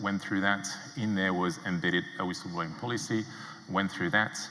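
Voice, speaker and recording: A man with a French accent speaks in a very deep, low voice, with audible room echo and noticeable background noise. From France. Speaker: entrepreneur. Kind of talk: conference talk. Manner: hesitant with many fillers.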